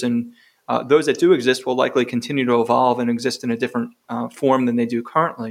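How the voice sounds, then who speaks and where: With an American accent, a man of medium pitch talks at a fairly quick pace in a monotone, flat intonation. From New York. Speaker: gastroenterologist and professor. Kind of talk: interview.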